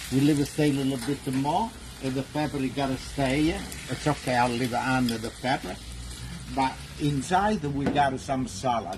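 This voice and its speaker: A man's medium-pitched voice with an Italian accent, ordinary pitch variation and a moderate pace, over noticeable background noise. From Italy. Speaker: cooking show host. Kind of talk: live cooking stream, casual chat. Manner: halting.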